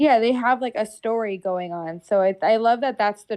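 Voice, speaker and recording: The background is quiet as a woman talks with ordinary pitch variation. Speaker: haunt actor. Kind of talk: podcast interview. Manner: halting, many fillers.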